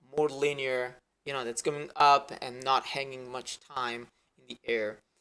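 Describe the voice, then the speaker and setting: With a bright, sharp tone and a medium pitch, a man speaks in a monotone, flat way while his loudness swings widely. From Italy. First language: Italian. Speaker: 3D animator. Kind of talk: tutorial. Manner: halting, many fillers and restarts.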